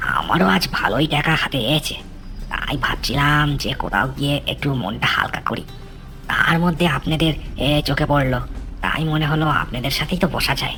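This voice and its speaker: A cartoonish character voice at low-to-middle pitch moves at a moderate pace, with clear background noise. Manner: chuckling, ingratiating.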